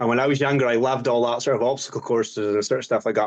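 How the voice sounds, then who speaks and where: In a Scottish accent, the speaker goes at a very fast pace with fairly even intonation. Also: man. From Scotland, Highlands. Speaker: obstacle course racer. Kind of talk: interview. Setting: podcast.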